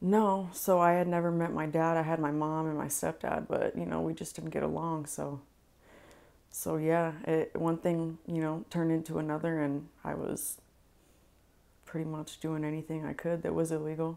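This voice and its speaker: A woman with a very deep, low pitch and a monotone, flat intonation. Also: moderate pace. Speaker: interview guest. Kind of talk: interview answer. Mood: candid, reflective. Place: home room. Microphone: lapel.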